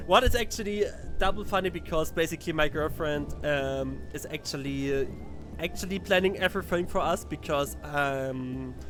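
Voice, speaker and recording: With music playing behind him, the man keeps to a moderate pace. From Germany. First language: German. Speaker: tournament streamer and commentator. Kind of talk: live stream commentary. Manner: halting, repetitive.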